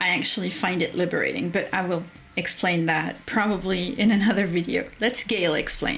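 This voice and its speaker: Over noticeable background noise, a woman with a French accent speaks at a moderate pace, medium in pitch with ordinary pitch variation. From France. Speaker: streamer reading and commenting on a writing course. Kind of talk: livestream commentary, reading aloud course text. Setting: livestream.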